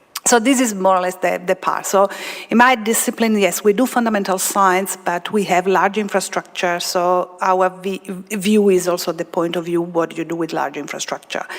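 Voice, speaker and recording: With an Italian accent, a woman talks at a moderate pace and medium pitch, her intonation fairly even over noticeable background noise. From Italy. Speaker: particle physicist. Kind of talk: panel discussion. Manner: halting, many fillers.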